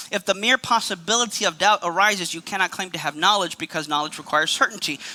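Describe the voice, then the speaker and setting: A man's raised, projected voice, high-pitched with a bright, sharp tone, ordinary pitch variation and a very fast pace. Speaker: apologetics speaker. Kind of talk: lecture.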